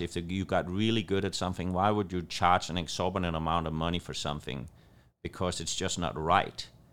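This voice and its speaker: In a very clean recording with a silent background, a man with a Danish accent speaks at a very deep, low pitch with fairly even intonation. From Denmark. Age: 50s. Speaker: chef and restaurant owner. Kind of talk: casual interview conversation.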